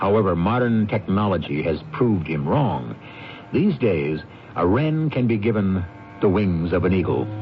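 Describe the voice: Low-pitched, a man speaks with few pauses and big pitch swings. Faint background noise can be heard. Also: fairly slow pace.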